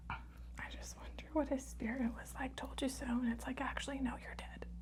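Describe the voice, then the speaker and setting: Soft-spoken, a woman talks at a moderate pace over noticeable background noise. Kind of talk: casual interview questions while giving a facial, ASMR.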